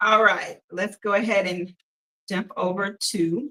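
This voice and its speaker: A woman speaks loudly at a very slow pace. Her medium pitch moves with ordinary variation. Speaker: painting instructor. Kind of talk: tutorial. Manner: casual, filler-heavy. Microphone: no microphone, using device's built-in mic.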